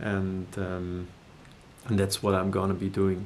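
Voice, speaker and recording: A man speaks with a German accent. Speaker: musician and video creator. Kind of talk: personal announcement to viewers. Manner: halting, many hesitations and repetitions.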